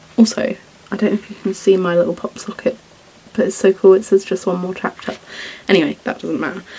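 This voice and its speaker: A woman's voice over noticeable background noise. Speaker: book vlogger. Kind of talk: casual vlog talk. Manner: chatty, filler-heavy.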